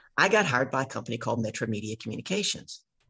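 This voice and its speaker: The speaker talks at a fairly quick pace in a Southern US accent. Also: woman. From US South, Louisiana. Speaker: business coach. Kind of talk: casual chat. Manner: animated.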